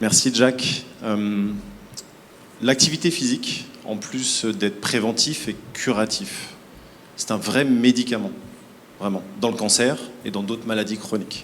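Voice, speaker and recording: A man speaks with ordinary pitch variation, leaving long, frequent pauses. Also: medium pitch for a man, moderate pace. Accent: French. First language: French. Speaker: health nonprofit representative. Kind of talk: panel answer at awards ceremony.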